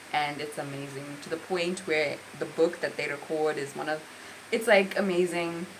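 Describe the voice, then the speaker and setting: A woman talks at a moderate pace in a very deep, low voice. Room echo is audible and background noise is noticeable. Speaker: book reviewer. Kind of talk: book review monologue.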